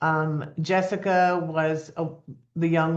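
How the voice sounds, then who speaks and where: A woman speaks very slowly in a very deep, low pitch. The background is quiet. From New Jersey. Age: 70s. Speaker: nonprofit founder and life coach. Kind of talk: interview. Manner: animated storytelling.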